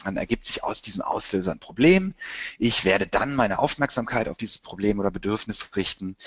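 A man with a fairly low pitch, ordinary pitch variation, and a fairly quick pace. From Germany, Cologne. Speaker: marketing agency director. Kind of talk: webinar presentation. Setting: webinar. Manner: animated.

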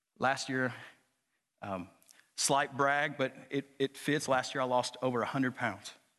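A man with a Southern US accent at medium pitch and a fairly slow pace, with long, frequent pauses, against a quiet background. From Arkansas, US South. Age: 30s. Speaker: preacher. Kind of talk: sermon. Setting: church. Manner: animated.

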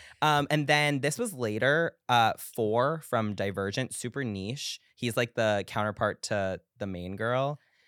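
A man with an American accent and an ordinary speaking voice talks at a fairly slow pace and medium pitch, in a very clean recording with a silent background and a dry, close sound with no echo. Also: ordinary pitch variation. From US Northeast, Long Island. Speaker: pop culture commentator. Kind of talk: casual chat.

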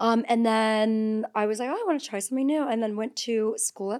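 In a normal speaking voice, the speaker talks at a moderate pace with ordinary pitch variation over a very clean recording with a silent background. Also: woman. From northern Ontario, Canada. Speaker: reality TV personality and content creator. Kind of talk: casual chat.

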